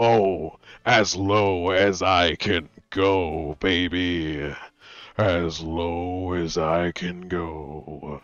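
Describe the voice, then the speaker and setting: A man puts on a raspy character voice, pitched very deep and low. He speaks at a very slow pace. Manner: exaggerated, playful.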